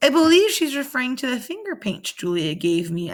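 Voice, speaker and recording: In a put-on character voice, a woman speaks at a fairly quick pace with a high pitch and very wide pitch swings. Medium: read story.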